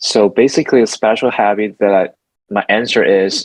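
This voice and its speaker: With a Mandarin accent, a man speaks fairly slowly at a fairly low pitch with ordinary pitch variation. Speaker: architect and songwriter. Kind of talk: interview. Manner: halting.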